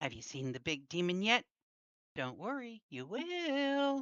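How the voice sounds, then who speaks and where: A put-on character voice, female-sounding and medium in pitch, with very wide pitch swings at a fairly slow pace. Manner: ominous, taunting.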